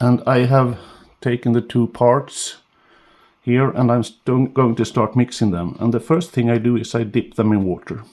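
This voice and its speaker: A man talks at a moderate pace. His medium-pitched voice keeps a fairly even intonation. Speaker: fish carver, sculpting tutor. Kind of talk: tutorial. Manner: halting, many fillers.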